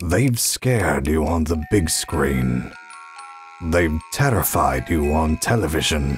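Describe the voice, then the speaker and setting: A man with a very deep, low voice speaks over music playing in the background. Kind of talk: movie trailer.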